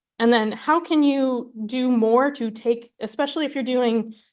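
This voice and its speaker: Ordinary pitch variation over a quiet background. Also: woman. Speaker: scientist giving an invited talk. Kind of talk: lecture. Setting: room with live audience. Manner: fast.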